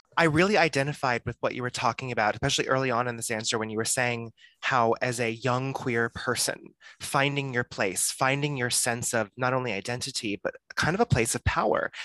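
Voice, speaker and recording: The sound is dry and close, with no echo. A man speaks in a bright, sharp tone. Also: medium pitch for a man. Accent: American. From Texas. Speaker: podcast host. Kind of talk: casual interview.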